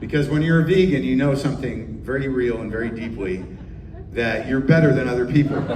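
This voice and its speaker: Speaking at a fairly quick pace in an animated tone, a man uses a medium pitch with ordinary pitch variation, with audible room echo and noticeable background noise. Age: 60s. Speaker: stand-up comedian. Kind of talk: stand-up.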